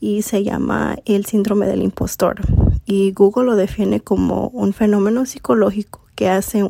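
With no echo at all, the sound of this woman is dry and close. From US Midwest (Elkhart, Indiana; Mexican family). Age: 20s. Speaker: podcast host and mindset coach. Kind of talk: casual monologue.

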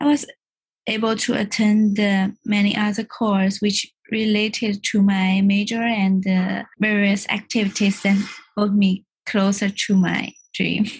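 In a Chinese accent, the voice is somewhat breathy and flat in intonation, moving at a fairly slow pace with very even loudness. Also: woman, medium pitch for a woman. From China. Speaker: artist and former scholarship student. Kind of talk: podcast interview.

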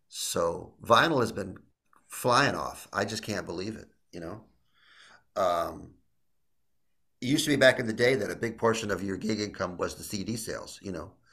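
With audible room echo around him, a man in an American accent speaks in a bright, sharp tone. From US Midwest, Illinois. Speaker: jazz guitarist. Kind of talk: casual interview.

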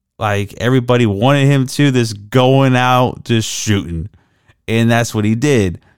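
An unremarkable speaking voice from a man at a medium pitch, fairly slow, with ordinary pitch variation and very even loudness on a very clean recording with a silent background. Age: 30s. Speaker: sports podcast host. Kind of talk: casual solo commentary. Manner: casual, conversational.

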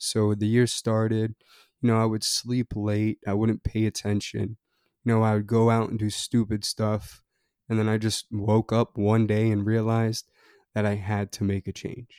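A man's dark, mellow, fairly low voice, monotone and flat, at a moderate pace, in a very clean, dry, close recording with a silent background and no echo. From Maryland, Annapolis. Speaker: podcast host. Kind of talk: casual storytelling monologue. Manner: frequent breaths.

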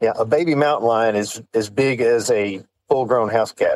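This man has a West Texas accent. His pitch is medium. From West Texas (San Angelo). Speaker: off-road shop owner. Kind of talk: casual chat.

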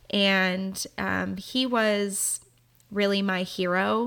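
A woman's medium pitch in a monotone, flat intonation at a very slow pace. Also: very clean recording, silent background. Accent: American. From Southern California. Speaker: interior designer and podcast host. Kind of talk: solo podcast monologue.

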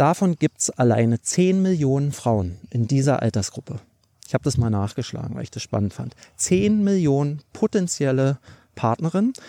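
At a moderate pace, a man with a fairly high voice and a dark, mellow tone makes very wide pitch swings, the sound dry and close with no echo. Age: 30s. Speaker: career coach podcast host. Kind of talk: casual monologue. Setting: outdoors, walking along a cliff coast.

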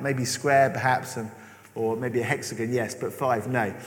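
A man's voice carries audible room echo. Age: 40s. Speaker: preacher. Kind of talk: sermon.

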